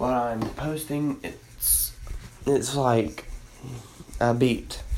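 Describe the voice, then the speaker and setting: In a room with audible echo and noticeable background noise, a man talks at a very slow pace with long, frequent pauses. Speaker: amateur podcaster and beat maker. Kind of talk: casual update monologue. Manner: halting.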